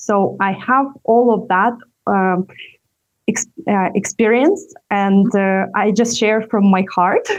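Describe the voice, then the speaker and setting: A woman of medium pitch talks very slowly with a non-native accent, her intonation fairly even and her loudness very even. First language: not English. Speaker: entrepreneur and communication coach. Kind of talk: interview. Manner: halting, many fillers.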